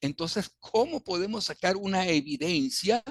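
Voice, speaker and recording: High-pitched male speech at a fairly slow pace, lively in intonation, with a dry, close sound and no echo. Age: 70s. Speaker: businessman. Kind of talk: interview answer.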